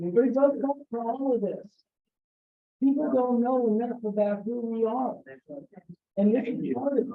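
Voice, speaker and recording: With an American accent, a man talks at a moderate pace in an extremely high pitch, his intonation fairly even, leaving long, frequent pauses as room echo is audible. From US South, San Antonio, Texas. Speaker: Rotary district governor-elect, presenter. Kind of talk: conference talk.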